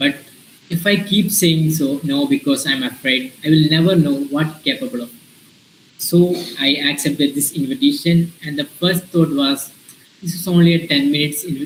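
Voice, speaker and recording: Against noticeable background noise, a man with an Indian accent talks at a moderate pace, his fairly high pitch showing ordinary variation. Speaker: invited speaker, early-career professional. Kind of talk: talk to students in an online session. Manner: halting, many fillers.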